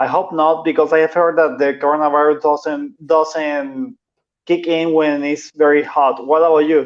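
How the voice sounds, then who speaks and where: This man, with a Venezuelan accent, talks at a moderate pace with a fairly high pitch, fairly even intonation and very even loudness. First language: Spanish. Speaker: translator and copywriter. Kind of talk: casual chat.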